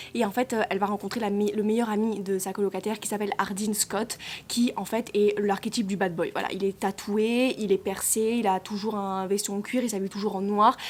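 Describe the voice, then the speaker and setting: A woman at medium pitch, monotone and flat, at a fairly quick pace with hardly any pauses. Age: 20s. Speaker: book reviewer. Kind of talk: casual book review. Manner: halting.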